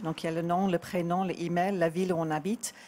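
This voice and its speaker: An English accent with a dark, mellow tone. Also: woman. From England. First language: English (speaking French). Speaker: artist; guest. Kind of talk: interview. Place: bar. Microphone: handheld.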